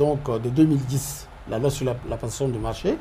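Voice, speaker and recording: The man's voice is dark and mellow in tone, somewhat breathy. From DR Congo. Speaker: professor, public finance analyst. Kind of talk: interview. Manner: halting, many hesitations and repetitions. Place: studio.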